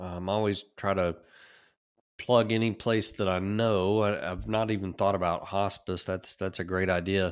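A man with a very deep, low pitch speaks with fairly even intonation on a very clean recording with a silent background. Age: 40s. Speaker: podcast host. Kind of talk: casual interview. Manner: halting.

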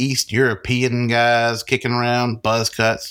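A man with a Southern US accent speaks at a medium pitch, recorded very cleanly against a silent background. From US South. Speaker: podcast co-host and author. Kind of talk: reading aloud in character voices.

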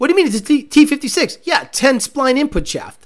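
Speaking at a very fast pace, a man sounds animated, his intonation lively. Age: 40s. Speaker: car podcast host and racer. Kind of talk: casual chat.

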